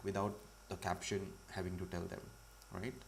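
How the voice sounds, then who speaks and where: A man's very deep, low voice with vocal fry, carrying audible room echo. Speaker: comic artist teaching a livestream. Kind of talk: live tutorial. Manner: loud. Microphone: audio was too quiet at first.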